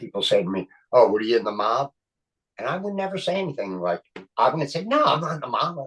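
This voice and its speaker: A man speaks at a fairly quick pace with a Philadelphia accent. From Philadelphia (Kensington). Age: 60s. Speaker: actor and comedian. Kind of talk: casual interview chat. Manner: animated.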